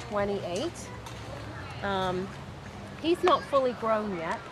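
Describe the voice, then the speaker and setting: Against crowd noise in the background and audible room echo, the voice carries lively intonation. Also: woman. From England. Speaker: kangaroo farm owner. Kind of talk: interview. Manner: halting, many fillers.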